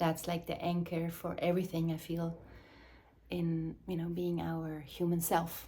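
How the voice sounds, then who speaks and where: Somewhat breathy, fairly low-pitched woman's voice with a non-native accent, monotone and flat in intonation, at a moderate pace. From Switzerland. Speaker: mothering and embodiment facilitator, former dancer. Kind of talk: reflective monologue to camera. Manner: halting.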